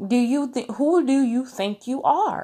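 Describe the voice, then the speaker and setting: A woman talks in a plain, everyday voice. Her pace is fairly slow and her pitch variation ordinary. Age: 20s. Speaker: podcast host and prophetic minister. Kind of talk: casual religious teaching monologue.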